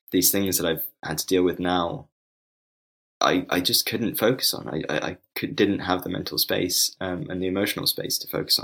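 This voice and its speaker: A man with a London accent talks at a moderate pace in a very deep, low pitch, his tone bright and sharp, with ordinary pitch variation. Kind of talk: casual interview. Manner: halting, many fillers.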